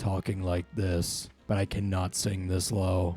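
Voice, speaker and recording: A man does a put-on character voice that is gravelly and very deep, with flat, monotone intonation at a fairly slow pace. Music plays in the background. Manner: gruff.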